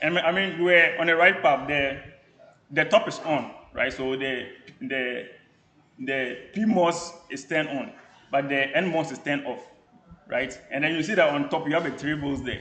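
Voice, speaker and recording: A man's fairly high-pitched voice with long, frequent pauses and audible room echo. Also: ordinary pitch variation. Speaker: university lecturer. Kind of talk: lecture. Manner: fast.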